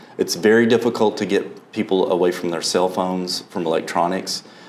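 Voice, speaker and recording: Against noticeable background noise, a man with a fairly low pitch talks at a moderate pace. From Alabama. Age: 50s. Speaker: college fine arts director. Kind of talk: interview.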